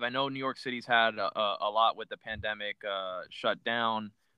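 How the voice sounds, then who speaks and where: The speaker is a man with an American accent. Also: hardly any pauses, big swings in loudness. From Miami, Florida. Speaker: podcast host. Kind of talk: casual interview chat. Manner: halting with many fillers.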